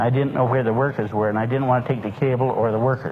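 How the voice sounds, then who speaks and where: Monotone and flat at medium pitch, a man talks at a very fast pace with noticeable background noise and audible room echo. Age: 60s. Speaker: lecturer on a nutritional supplement. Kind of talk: lecture. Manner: folksy storytelling.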